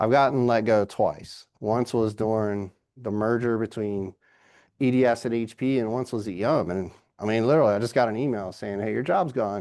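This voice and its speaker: A man with an American accent speaks in a normal speaking voice at a medium pitch and moderate pace, with ordinary pitch variation over a quiet background. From Virginia, US. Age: 50s. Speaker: business executive guest speaker. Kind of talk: lecture. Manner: casual.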